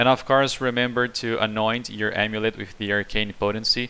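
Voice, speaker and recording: Speaking in a Portuguese accent, a man uses flat, monotone intonation at a moderate pace, his medium-pitched voice bright and sharp in tone. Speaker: video game streamer. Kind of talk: gameplay build guide.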